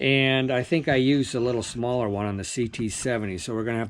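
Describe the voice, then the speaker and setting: A man with ordinary pitch variation, with noticeable background noise. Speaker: motorcycle restoration hobbyist. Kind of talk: workshop tutorial. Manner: casual, many fillers.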